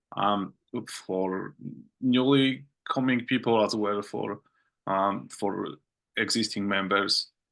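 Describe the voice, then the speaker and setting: A man with a non-native accent speaks very slowly in a fairly low voice. His pitch varies in an ordinary way, with long, frequent pauses. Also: quiet background. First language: not English. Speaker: open source project meeting chair. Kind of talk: online work meeting. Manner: halting, many fillers and repetitions.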